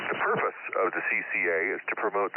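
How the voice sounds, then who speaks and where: A man speaks with a Californian accent. Background noise is noticeable. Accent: General American (Californian). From San Francisco Bay Area. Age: 60s. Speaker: ham radio net control operator. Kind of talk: radio net preamble and check-ins. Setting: amateur radio transmission.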